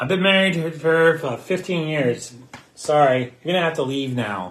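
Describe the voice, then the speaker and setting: Amid noticeable background noise, a man with a fairly high voice speaks at a moderate pace with lively intonation. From Pittsburgh, US. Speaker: podcast co-host, theme park fan. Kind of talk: casual chat. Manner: halting, many fillers.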